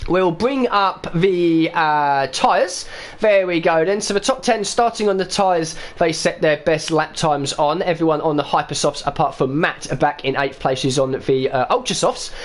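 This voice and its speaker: The speaker talks at a moderate pace in an East London accent. The intonation is lively and the loudness very even. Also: man, high pitch for a man. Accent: East London, a bit Cockney. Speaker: esports racing commentator. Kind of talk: live commentary.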